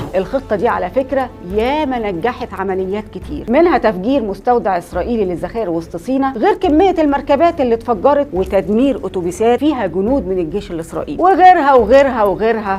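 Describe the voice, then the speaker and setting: Over noticeable background noise, a woman talks at a moderate pace with a fairly high pitch and very wide pitch swings. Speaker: history storyteller host. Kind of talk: history storytelling to camera. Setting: studio.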